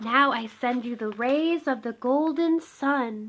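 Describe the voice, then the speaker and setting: Someone speaks in a put-on character voice at a fairly slow pace. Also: woman, high pitch for a woman. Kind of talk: bedtime story. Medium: read story. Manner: gentle, dreamy.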